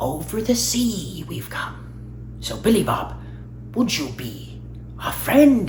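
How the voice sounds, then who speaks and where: A man's put-on character voice at a fairly slow pace, broken by long, frequent pauses, over clear background noise. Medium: solo performance. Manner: talkative, rambling.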